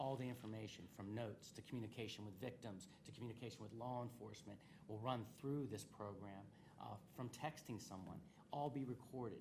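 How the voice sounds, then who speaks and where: A man talks at a fairly quick pace, with a medium pitch and ordinary pitch variation. The recording carries noticeable background noise and audible room echo. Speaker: state's attorney presenting to county commissioners. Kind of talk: public meeting presentation. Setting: county government meeting. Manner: fast; halting, many fillers.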